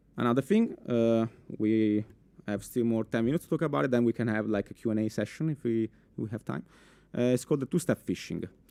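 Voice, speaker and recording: Speaking at a very fast pace with an Italian accent, a man uses a medium pitch, ordinary pitch variation and a dark, mellow tone, in a dry, close sound with no echo. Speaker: cybersecurity specialist. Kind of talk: conference talk. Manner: halting, many fillers.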